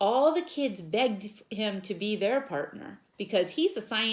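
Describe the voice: This is plain reading aloud delivered with lively intonation.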